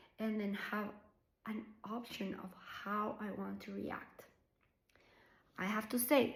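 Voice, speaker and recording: A woman with a Colombian accent speaks at a fairly slow pace, her medium-pitched voice showing vocal fry. The room echo is audible. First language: Spanish. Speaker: somatic practitioner. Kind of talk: personal reflection to camera. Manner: unscripted, hesitant with fillers.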